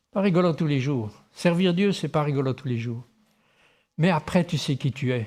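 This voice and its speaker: Lively intonation from a man, moderately paced. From Tahiti, French Polynesia. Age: 60s. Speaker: pastor. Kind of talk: sermon.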